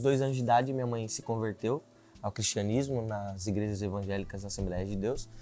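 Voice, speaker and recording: A man with a medium pitch and ordinary pitch variation talks while music plays in the background. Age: 20s. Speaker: political candidate. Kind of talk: interview.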